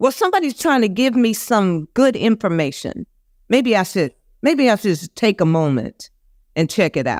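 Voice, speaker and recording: A woman's fairly high voice in an American accent, with very wide pitch swings, very even loudness, a moderate pace and a dry, close sound with no echo. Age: 70s. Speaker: vegan chef and restaurant owner. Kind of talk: interview conversation.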